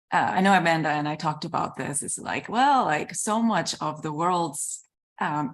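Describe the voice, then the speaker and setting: A woman with a very deep, low pitch and a Korean accent, against a quiet background. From South Korea. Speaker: panelist. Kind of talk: panel discussion. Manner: halting.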